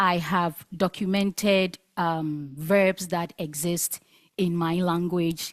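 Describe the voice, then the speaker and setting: Very slow and monotone, a woman speaks with flat intonation at a fairly low pitch. The sound is dry and close, with no echo. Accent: Ghanaian. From Ghana. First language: Asante Twi. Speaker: linguist researcher. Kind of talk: conference talk.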